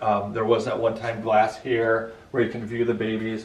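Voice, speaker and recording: In a Chicago accent, a man speaks at medium pitch, with audible room echo and noticeable background noise. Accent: northern US accent, Chicago. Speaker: hospital building owner giving a tour. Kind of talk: guided tour. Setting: indoors, old hospital building. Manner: casual, filler-heavy.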